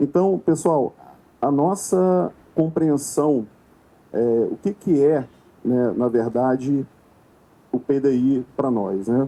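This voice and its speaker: Very slowly and with long, frequent pauses, a man with a fairly high voice and a dark, mellow tone speaks with lively intonation. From Rio de Janeiro, Brazil. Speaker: consultant, conference speaker. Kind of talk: conference talk. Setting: stage with audience.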